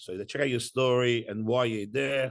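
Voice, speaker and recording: With an Australian accent, a man speaks at a medium pitch and ordinary pitch variation against a quiet background. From Iran, raised in Australia from age ten. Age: 40s. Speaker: entrepreneur. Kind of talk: interview.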